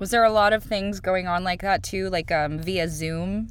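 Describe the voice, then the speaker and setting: An unremarkable speaking voice from a woman, fairly low in pitch, with lively intonation. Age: 20s. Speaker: podcast host. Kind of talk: casual interview chat.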